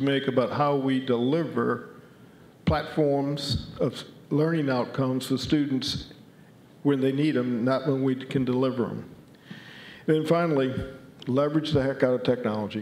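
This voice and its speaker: A man talks at a medium pitch and a moderate pace. Audible room echo surrounds his voice. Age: 60s. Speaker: conference speaker on college planning. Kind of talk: conference presentation.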